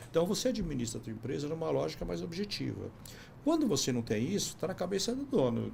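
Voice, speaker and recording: Speaking at a very fast pace, a man is heard with audible room echo. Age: 60s. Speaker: business consultant. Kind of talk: podcast interview.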